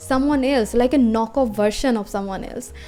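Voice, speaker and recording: Music is in the background. Over it, a woman's intonation is lively. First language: not English. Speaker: small business owner, digital artist. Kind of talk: casual talk to camera.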